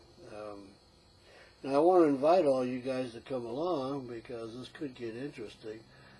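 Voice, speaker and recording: With big swings in loudness, a man speaks at a medium pitch and moderate pace with ordinary pitch variation. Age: 60s. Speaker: retired engineer and veteran vlogger. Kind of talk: casual vlog. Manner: halting, many fillers.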